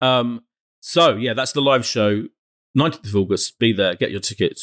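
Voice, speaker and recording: On a very clean recording with a silent background and a dry, close sound with no echo, a man with a British accent talks at a moderate pace. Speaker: podcast host. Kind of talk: casual chat.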